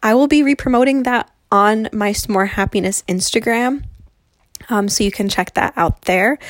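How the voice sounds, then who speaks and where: A woman with an American accent and a fairly high pitch, an ordinary speaking voice at a moderate pace, with ordinary pitch variation, very even loudness, and a dry, close, echo-free sound in a very clean recording with a silent background. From New Jersey, US. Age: 20s. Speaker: podcast host, blogger. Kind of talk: casual solo monologue. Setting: home recording in bedroom. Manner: free-flowing, many fillers.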